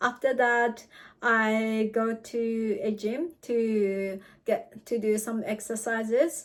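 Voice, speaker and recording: A woman speaks with a Japanese accent at a fairly high pitch. The recording is very clean, the background silent. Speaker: student vlogger. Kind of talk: vlog talk. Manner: halting.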